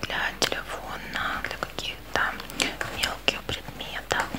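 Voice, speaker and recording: With noticeable background noise around her, a woman whispers at a very slow pace. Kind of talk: ASMR whispered show and tell. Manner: whispered.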